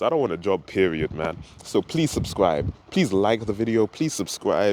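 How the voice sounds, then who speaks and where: There is noticeable background noise behind this man. He talks at a moderate pace with lively intonation. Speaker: vlogger. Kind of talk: casual monologue vlog. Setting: outdoors by a river. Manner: animated.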